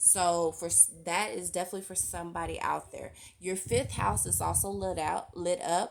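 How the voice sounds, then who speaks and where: Music plays in the background. The speaker talks at a moderate pace. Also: woman. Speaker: tarot reader. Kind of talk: tarot reading monologue. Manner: filler-heavy, repeats okay.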